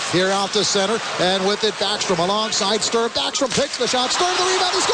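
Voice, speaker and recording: Amid noticeable background noise, a man speaks at a fairly quick pace with a high pitch, lively intonation and very even loudness. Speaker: radio play-by-play hockey announcer. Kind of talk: live sports play-by-play call. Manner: fast, energetic, rising to a shout on goals.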